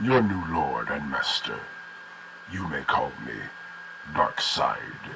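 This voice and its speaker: Over clear background noise, a man does a put-on character voice at a very slow pace with long, frequent pauses. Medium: voice reel. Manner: cold, menacing.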